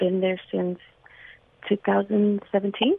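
A woman speaks with an American accent. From Los Angeles, US. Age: 40s. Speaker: radio caller. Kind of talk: testimony. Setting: phone call.

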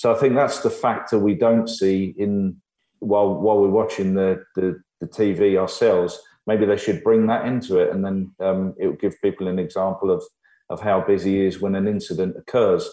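A man with an English accent speaks in a dark, mellow tone with fairly even intonation. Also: moderate pace. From Ireland. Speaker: former F1 team manager. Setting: video call.

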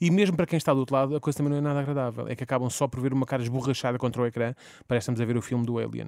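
On a very clean recording with a silent background and a dry, close sound with no echo, a man with a European Portuguese accent speaks very fast at a medium pitch. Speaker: radio comedy host. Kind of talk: comedic segment. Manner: animated.

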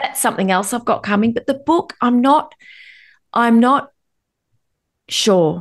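Against a quiet background, a woman with an Australian accent speaks fairly slowly at a high pitch, with very wide pitch swings and long, frequent pauses. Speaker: anxiety educator and author. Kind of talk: interview.

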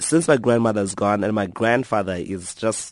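Quiet surrounds the speech. It moves at a fairly quick pace with ordinary pitch variation. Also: man. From South Africa, Eastern Cape. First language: Xhosa. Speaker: author and blogger. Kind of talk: radio interview.

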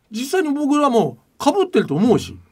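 Recorded very cleanly with a silent background, the voice moves at a moderate pace with big pitch swings, a slightly mellow tone and a slightly husky edge. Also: man, extremely high pitch for a man.

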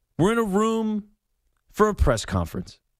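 A man's animated tone at a moderate pace. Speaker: sports radio host. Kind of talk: call-in sports talk radio.

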